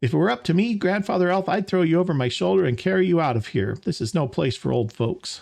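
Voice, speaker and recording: Using a put-on character voice, a man races along at a very fast, high pitch with hardly any pauses. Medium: solo performance. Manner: blunt, hearty.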